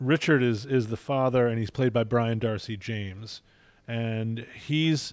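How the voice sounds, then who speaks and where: On a very clean recording with a silent background, a man with an American accent and a normal speaking voice talks at medium pitch with ordinary pitch variation. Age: 60s. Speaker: film critic. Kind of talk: casual film discussion. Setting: at a film festival in Venice.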